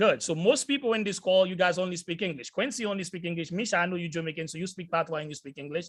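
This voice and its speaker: A man talks at a very fast pace with hardly any pauses, his high-pitched voice animated in tone and ordinary in pitch variation. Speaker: sales entrepreneur, motivational speaker. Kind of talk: motivational talk. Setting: video call.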